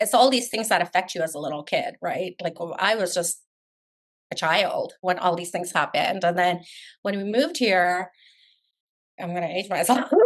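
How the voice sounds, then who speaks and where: Over a quiet background, a woman at medium pitch speaks at a moderate pace with ordinary pitch variation and long, frequent pauses. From Afghanistan, raised in Canada from about age 12. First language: not English. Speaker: realtor. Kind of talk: podcast interview.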